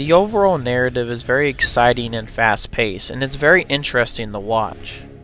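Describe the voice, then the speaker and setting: A man at medium pitch, talking at a fairly quick pace with lively intonation and hardly any pauses, music in the background. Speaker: video game reviewer. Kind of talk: game review narration.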